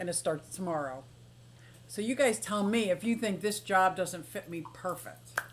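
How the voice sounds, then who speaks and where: A woman with an American accent talks at a moderate pace and medium pitch, her tone animated and her intonation lively. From Pennsylvania, Philadelphia. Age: 60s. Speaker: aquarium and exotic pet streamer. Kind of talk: casual live stream chat. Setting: live stream.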